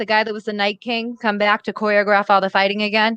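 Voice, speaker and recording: A woman with a bright, sharp tone talks at a fairly quick pace and fairly high pitch, in a dry, close sound with no echo. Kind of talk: casual, profane.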